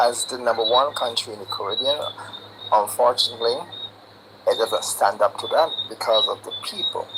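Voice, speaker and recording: Noticeable background noise can be heard throughout. The talking goes at a moderate speed, broken by long, frequent pauses. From Barbados. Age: 60s. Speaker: caller. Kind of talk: live stream call-in.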